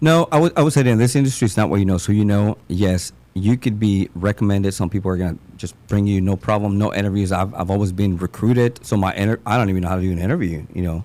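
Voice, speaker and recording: A man with a dark, mellow tone talks at a very fast pace, barely pausing. His pitch sits fairly low and varies in an ordinary way. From Mexico. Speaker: new home sales rep. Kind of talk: casual chat.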